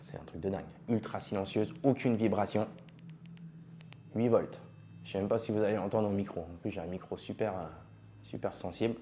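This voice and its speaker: Speaking at a fairly quick pace but with long, frequent pauses, a man has a fairly low pitch, ordinary pitch variation, a dark, mellow tone and big swings in loudness. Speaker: tattoo artist and trainer. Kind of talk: product review tutorial. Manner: casual, informal.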